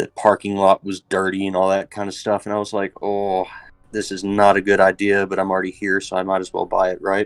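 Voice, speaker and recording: With an American accent, a man speaks at a fairly quick pace and a fairly low pitch. Music plays in the background, and the sound is dry and close with no echo. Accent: Texan accent, comes out a lot. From Texas. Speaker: voice actor and military service member. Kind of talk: casual chat on a livestream. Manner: animated.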